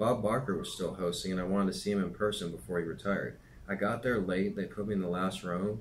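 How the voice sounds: In a natural reading voice, the speaker keeps the intonation fairly even.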